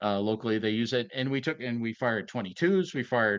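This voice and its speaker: Lively intonation in an Ohio accent at a fairly quick pace, against a quiet background. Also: man. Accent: Midwestern American (Ohio). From northeastern Ohio, near Youngstown. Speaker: retired FBI agent. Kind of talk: interview conversation. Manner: halting, many fillers and repeats.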